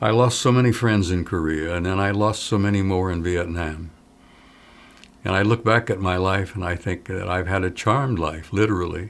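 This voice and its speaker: With a very deep, low pitch, a man talks at a moderate pace using ordinary pitch variation. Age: 80s+. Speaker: retired army command sergeant major. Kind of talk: interview. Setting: filmed interview. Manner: conversational, with hesitations.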